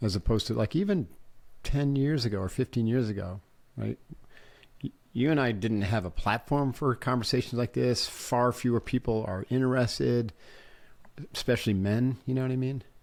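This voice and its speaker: Here a man speaks at a medium pitch with ordinary pitch variation. He leaves long, frequent pauses. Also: moderate pace. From upstate New York. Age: 60s. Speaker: podcast host. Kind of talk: interview conversation.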